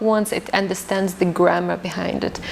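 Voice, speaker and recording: A woman's medium-pitched voice with fairly even intonation, against noticeable background noise. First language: Arabic. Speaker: English teacher. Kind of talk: podcast interview.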